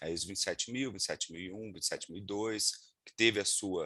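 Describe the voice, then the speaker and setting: A man with a Minas Gerais accent speaks in a fairly low pitch with a bright, sharp tone. His intonation is fairly even over a quiet background. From Minas Gerais, Brazil (Juiz de Fora). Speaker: lawyer and data protection instructor. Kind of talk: webinar talk. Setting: video call. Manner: hesitant, many fillers.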